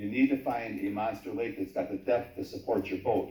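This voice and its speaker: A man with an American accent, somewhat breathy, dark and mellow, at a fairly quick pace with ordinary pitch variation and audible room echo. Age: 50s. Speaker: YouTuber recording local meetings, public commenter. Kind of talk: public hearing testimony. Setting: town hall public hearing.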